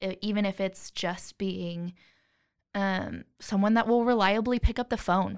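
A woman's unremarkable speaking voice with an American accent, medium in pitch, fairly slow, with fairly even intonation, on a very clean recording with a silent background. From Florida. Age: 20s. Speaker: social work graduate student. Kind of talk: casual interview.

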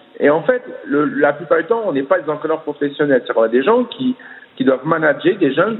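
A man's fairly high voice, fairly quick, with very wide pitch swings over noticeable background noise. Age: 40s. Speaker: swimming coach. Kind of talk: interview. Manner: halting, many fillers and repetitions.

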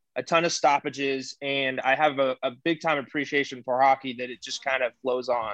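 A man with an American accent speaks at medium pitch in a monotone, flat delivery with hardly any pauses. The sound is dry and close, with no echo. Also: fairly quick pace. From Houston, Texas. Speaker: podcast co-host. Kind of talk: casual chat.

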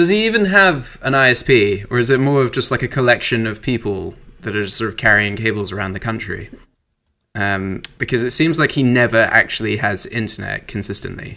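A man speaks at a fairly quick pace in a bright, sharp tone, with medium pitch and ordinary pitch variation. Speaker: podcast co-host. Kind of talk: casual chat.

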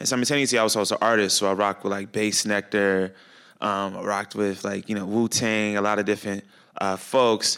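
The speech comes at a fairly quick pace in a very clean recording with a silent background. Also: man. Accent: American. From Chicago. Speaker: climate educator and artist. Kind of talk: panel discussion. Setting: stage with audience at a high school. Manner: animated.

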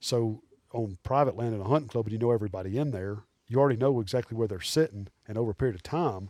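A man with an Alabama accent talks at a very fast pace at a medium pitch with ordinary pitch variation, on a very clean recording with a silent background. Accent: Southern US (Alabama). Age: 40s. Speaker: taxidermist and hunter. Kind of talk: casual chat.

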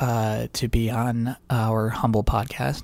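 In a very clean recording with a silent background, a man talks in a normal speaking voice at a medium pitch. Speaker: podcast co-host. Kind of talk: casual banter podcast.

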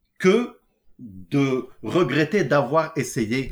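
A man's voice swings very widely in pitch. The recording is very clean, with a silent background. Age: 40s. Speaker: entrepreneur, electrical engineer. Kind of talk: casual interview. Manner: hesitant, many fillers.

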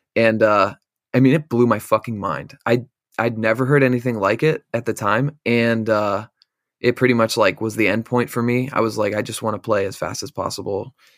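Here a man with an American accent speaks at a medium pitch and a moderate pace, with fairly even intonation. The recording is very clean with a silent background, dry and close with no echo. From central Pennsylvania. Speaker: metal band vocalist. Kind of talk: casual chat.

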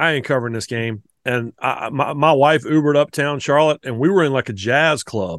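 A man with a North Carolina accent, fairly high pitch, ordinary pitch variation, a fairly quick pace and hardly any pauses. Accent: Southern US (North Carolina). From US South, the Carolinas. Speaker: college football writer. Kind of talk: casual chat.

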